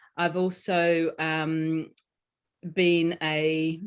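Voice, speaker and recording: In a quiet background, a woman with an Australian accent talks at a fairly low pitch. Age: 50s. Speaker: author and healing coach. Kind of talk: interview. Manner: halting, many fillers.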